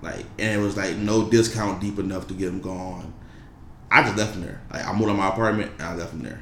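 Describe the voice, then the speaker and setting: A man talks very fast with fairly even intonation and big swings in loudness. Audible room echo surrounds his voice. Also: fairly low pitch for a man. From Detroit, Michigan. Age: 20s. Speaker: clothing brand founder. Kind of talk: casual interview.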